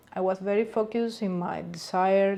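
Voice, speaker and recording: A woman's medium-pitched, dark, mellow voice with a Cuban accent. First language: Spanish. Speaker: vlogger sharing immigrant experience. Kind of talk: personal storytelling vlog. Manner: hesitant, with fillers.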